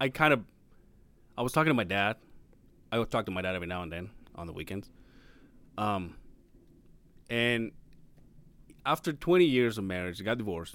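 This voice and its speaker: A man with a fairly low pitch speaks at a fairly quick pace, using lively intonation, big swings in loudness, and long, frequent pauses. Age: 30s. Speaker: podcast co-host. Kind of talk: casual chat.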